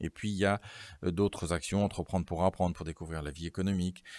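The clip is a very clean recording with a silent background. In it, a man's very deep, low voice carries fairly even intonation. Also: dry, close sound with no echo. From Normandy, France. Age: 50s. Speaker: regional politician and lawyer. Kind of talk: interview.

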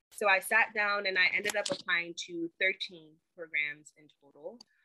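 This woman has an unremarkable speaking voice at a medium pitch. She talks at a fairly slow pace with ordinary pitch variation. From North Carolina (Charlotte), moved from Ghana at six. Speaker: dental student. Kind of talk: interview.

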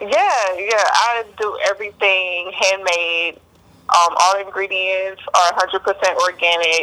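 The recording has noticeable background noise. A woman with an American accent talks at a very slow pace, her medium-pitched voice moving with fairly even intonation. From Texas, Beaumont. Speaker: military veteran and skincare entrepreneur. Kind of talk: interview.

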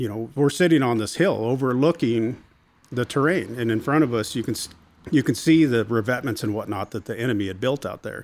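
In an American accent, a man speaks in a plain, everyday voice of medium pitch, with ordinary pitch variation and a fairly quick pace. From Washington State, US Pacific Northwest. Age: 50s. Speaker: Marine veteran and small business owner. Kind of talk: casual interview.

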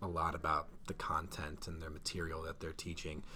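Speaking with an Ohio accent at a moderate pace, a man has a very deep, low pitch and a bright, sharp tone. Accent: Midwestern American (Ohio). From northeast Ohio, Cleveland suburbs. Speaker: high school science teacher. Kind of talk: casual interview.

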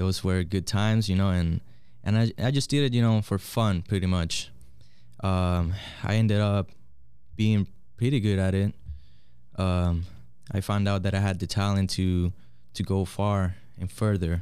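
With a Spanish accent, a man speaks at a moderate pace in a fairly low pitch, his intonation fairly even and his pauses long and frequent. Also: very even loudness. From Puerto Rico. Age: 20s. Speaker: barber and soccer coach. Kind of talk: casual interview.

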